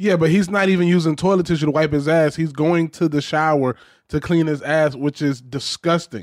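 An ordinary speaking voice from a man with an American accent and fairly high pitch, fairly quick and very even in loudness, with fairly even intonation on a very clean recording with a silent background. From Georgia, US South. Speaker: comedian. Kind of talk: casual chat.

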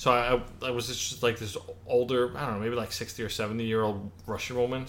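Fairly even intonation and a medium pitch mark a man with an unremarkable speaking voice, talking at a moderate pace. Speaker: podcast co-host. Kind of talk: casual chat.

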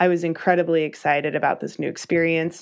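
Against a quiet background, a woman speaks in a monotone, flat intonation at a fairly low pitch and moderate pace. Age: 30s. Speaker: professional cyclist and graphic designer. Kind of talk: casual interview.

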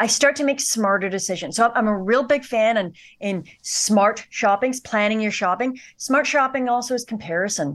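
A plain, everyday voice from a woman with a Canadian accent, fairly high in pitch, at a moderate pace with ordinary pitch variation. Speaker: personal finance expert. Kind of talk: interview.

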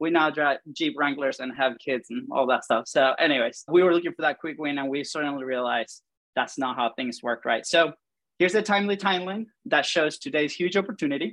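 A man with a Venezuelan accent speaks at a fairly high pitch and a fairly quick pace in an enthusiastic tone. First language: Spanish. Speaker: podcast host and content marketing coach. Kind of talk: workshop presentation. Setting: video call. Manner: fast talker.

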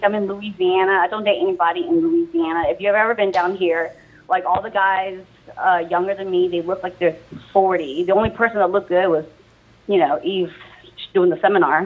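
A woman with an American accent talks at a fairly quick pace and medium pitch. Noticeable background noise is present. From Southern California, later South Carolina. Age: 30s. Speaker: MMA fighter. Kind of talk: interview. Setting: phone call.

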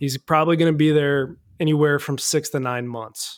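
A man with a plain, everyday voice, fairly high pitch and a moderate pace. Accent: American. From US Midwest, Cincinnati. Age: 20s. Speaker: accident survivor. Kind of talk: casual chat.

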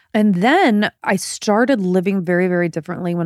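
A woman with a plain, everyday voice speaks at a moderate pace and a medium pitch, on a very clean recording with a silent background that is dry and close with no echo. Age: 40s. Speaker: podcast host, former TV broadcaster. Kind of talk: casual chat. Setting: at home in bed.

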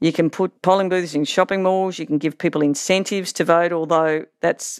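A woman with an Australian accent speaks at a moderate pace in a fairly low pitch with ordinary variation. The sound is dry and close with no echo, on a very clean recording with a silent background. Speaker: political science professor. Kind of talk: interview.

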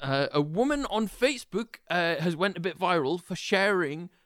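A man with a British accent speaks in a high voice with lively intonation. The recording is very clean, with a silent background. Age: 20s. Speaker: podcast co-host. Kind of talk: casual chat.

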